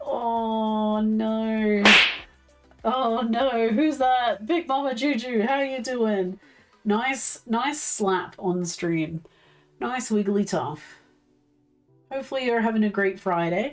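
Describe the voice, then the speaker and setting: A woman's fairly high voice, very slow, with long, frequent pauses, very even loudness and music in the background. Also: ordinary pitch variation. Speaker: livestreamer. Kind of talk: casual chat.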